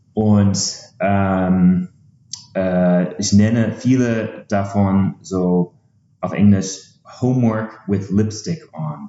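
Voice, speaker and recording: A fairly low-pitched male voice with an English accent, very slow pace, and fairly even intonation. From USA. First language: English (speaking German). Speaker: startup founder, game developer. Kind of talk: podcast interview. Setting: in the same room as host. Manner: halting, many filler sounds.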